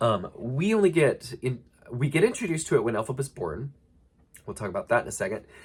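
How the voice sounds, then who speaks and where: With vocal fry and a fairly high pitch, a man races along at a very fast pace, his pitch swinging very widely. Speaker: book lore analyst video creator. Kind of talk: casual unscripted analysis talk. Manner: casual with filler words.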